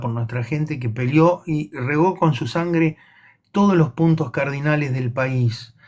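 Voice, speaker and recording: A man with a Rioplatense accent speaks at a fairly high pitch, somewhat breathy. His pitch varies in an ordinary way. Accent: Argentine Rioplatense Spanish. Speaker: livestream co-host. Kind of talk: casual chat. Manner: halting, repetitive.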